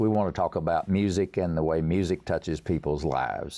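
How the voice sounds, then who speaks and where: The tone is dark and mellow, with an East Tennessee accent and ordinary pitch variation. The pace is fairly quick over a quiet background. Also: man. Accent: Southern, East Tennessee. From US South, East Tennessee. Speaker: songwriter and pianist. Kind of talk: interview.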